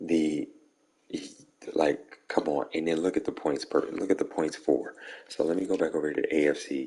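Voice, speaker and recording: The speaker is quiet. Long pauses come often. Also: man. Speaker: video game streamer. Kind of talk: casual gaming recap to viewers. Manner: quiet, hushed.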